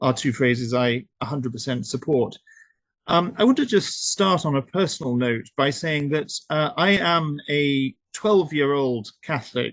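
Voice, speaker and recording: A fairly slow delivery with a British accent over a quiet background. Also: man. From United Kingdom. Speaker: human rights activist. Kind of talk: webinar talk. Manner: hesitant, many fillers.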